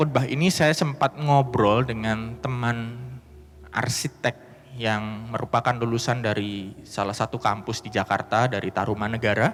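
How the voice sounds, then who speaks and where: Background music accompanies the recording. The male speaker keeps to a fairly slow tempo. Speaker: pastor. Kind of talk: sermon.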